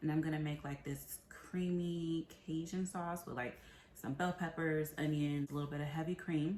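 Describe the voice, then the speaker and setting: Here a woman with an American accent speaks at a moderate pace. Her pitch is very deep and low, and her intonation is fairly even. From Tampa, Florida. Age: 30s. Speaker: cooking show applicant. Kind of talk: audition video, casual talk to camera.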